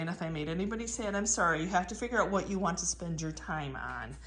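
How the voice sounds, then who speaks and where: In a room with audible echo, a woman talks at a fairly quick pace. Her voice has vocal fry and ordinary pitch variation. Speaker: antique reseller. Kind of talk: casual vlog haul. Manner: animated.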